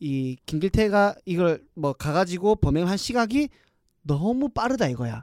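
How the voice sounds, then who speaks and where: Dry and close with no echo, this recording features a man. His pitch is high and swings very widely. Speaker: podcast co-host. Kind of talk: casual chat. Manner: animated.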